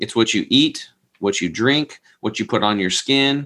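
With an ordinary speaking voice and an American accent, a man talks at a fairly slow pace, medium in pitch, with ordinary pitch variation. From US West, Eastern Oregon. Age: 40s. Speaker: health product entrepreneur. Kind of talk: interview.

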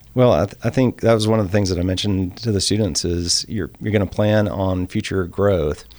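Speaking in a Southern US accent, a man with a fairly low pitch talks at a fairly quick pace with fairly even intonation and hardly any pauses, on a very clean recording with a silent background. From US South, rural Mississippi. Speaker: architect. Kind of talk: casual chat.

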